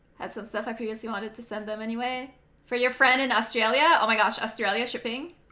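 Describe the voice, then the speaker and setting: A woman speaks very fast in an animated tone at a fairly high pitch. Noticeable background noise runs underneath. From Quebec, Canada. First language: French. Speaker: video game streamer. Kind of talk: casual chat.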